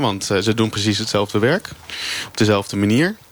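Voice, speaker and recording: A man's voice over noticeable background noise. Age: 30s. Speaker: meal delivery courier, flex worker. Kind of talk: live radio debate. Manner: halting.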